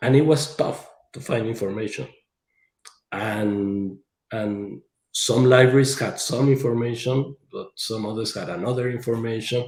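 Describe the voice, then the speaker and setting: At a fairly slow pace, a man with an ordinary speaking voice and medium pitch talks with fairly even intonation and big swings in loudness. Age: 60s. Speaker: engineer and author. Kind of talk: presentation in podcast interview.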